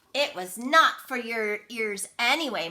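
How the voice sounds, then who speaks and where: Putting on a shrill character voice, a woman with a fairly high pitch uses lively intonation at a fairly slow pace. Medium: read story.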